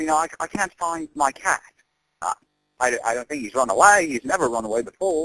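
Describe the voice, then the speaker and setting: Bright and sharp in tone, a man with a fairly high pitch talks at a fairly quick pace with lively intonation in a dry, close sound with no echo. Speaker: prank caller. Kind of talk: prank phone call. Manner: halting, stammering.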